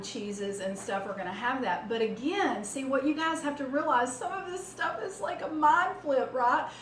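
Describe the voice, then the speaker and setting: In a room with audible echo and noticeable background noise, a woman with a Southern US accent speaks fairly slowly at a high pitch. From US South. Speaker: cooking channel host. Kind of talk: cooking tutorial. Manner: casual, many fillers.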